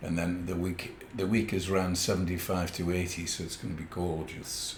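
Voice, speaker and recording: Over audible room echo, a man with a very deep, low pitch speaks at a moderate pace in a somewhat breathy, monotone, flat delivery. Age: 70s. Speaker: podcast co-host. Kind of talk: casual chat.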